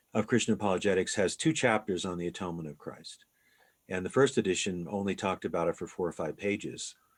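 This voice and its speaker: On a very clean recording with a silent background, a man talks at a fairly quick pace. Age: 60s. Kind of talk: interview.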